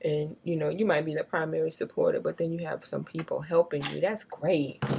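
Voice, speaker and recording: Noticeable background noise under a woman's fairly quick speech. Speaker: beauty vlogger. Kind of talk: casual chat while doing makeup. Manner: animated; stutters at times.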